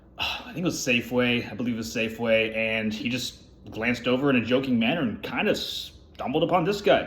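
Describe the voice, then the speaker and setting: With audible room echo, a man talks at a fairly quick pace in a medium pitch, his intonation lively. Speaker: food reviewer. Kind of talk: casual product review vlog. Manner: fast.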